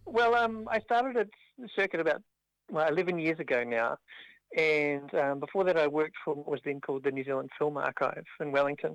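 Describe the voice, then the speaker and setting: An unremarkable speaking voice moves at a moderate pace with lively intonation, captured in a dry, close sound with no echo. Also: man, fairly high pitch for a man. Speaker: arts agency director. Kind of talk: interview.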